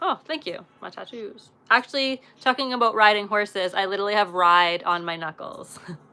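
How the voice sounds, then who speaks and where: The voice has a bright, sharp tone and a western Canadian accent. It moves at a moderate pace with lively intonation. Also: woman. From western Canada. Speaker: live streamer, former pro show jumper. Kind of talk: casual live stream chat. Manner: animated.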